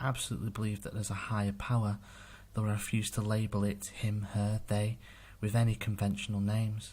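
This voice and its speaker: A man speaks at a fairly quick pace in a somewhat breathy voice. The recording is very clean, with a silent background. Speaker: amateur horror story narrator. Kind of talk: horror story narration.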